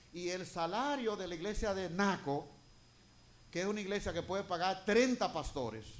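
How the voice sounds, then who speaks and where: There is audible room echo around this man's voice. He speaks at a high pitch with lively intonation. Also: moderate pace. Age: 60s. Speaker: retired pastor. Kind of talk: sermon. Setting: church.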